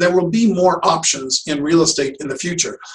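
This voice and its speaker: Using a plain, everyday voice, a man moves fairly quickly. He varies his pitch an ordinary amount. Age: 60s. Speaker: real estate agent. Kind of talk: podcast interview.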